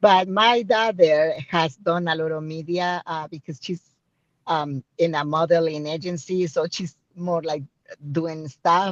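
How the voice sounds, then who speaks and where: A woman with a strong Spanish accent and fairly low pitch, in a dry, close sound with no echo against a quiet background. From Mexico. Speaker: radio show host. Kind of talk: panel discussion.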